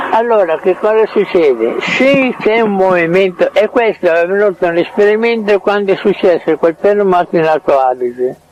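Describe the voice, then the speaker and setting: Lively intonation and very even loudness over noticeable background noise. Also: man, high pitch for a man, moderate pace. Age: 80s+. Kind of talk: casual chat. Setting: in his home. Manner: halting.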